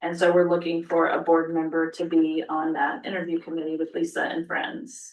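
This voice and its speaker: This woman has a normal speaking voice, fairly low in pitch, and speaks at a moderate pace. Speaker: school superintendent. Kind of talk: board meeting report.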